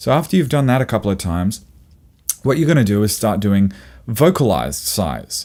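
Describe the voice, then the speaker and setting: This man's pitch is fairly low, with vocal fry and very wide pitch swings. He keeps a fairly quick pace at a very even loudness. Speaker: singer and vocal coach. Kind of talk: tutorial.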